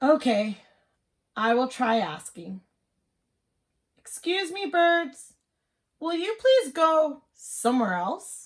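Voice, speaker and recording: A woman's high, put-on character voice at a very slow pace with long, frequent pauses. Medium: read story. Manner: anxious, fretful.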